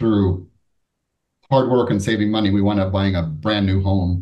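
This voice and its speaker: Here a man speaks with a fairly low pitch and ordinary pitch variation. His tone is dark and mellow and somewhat breathy. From Florida (Miami area), born in Cuba. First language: Spanish. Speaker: business executive and author. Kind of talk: interview conversation.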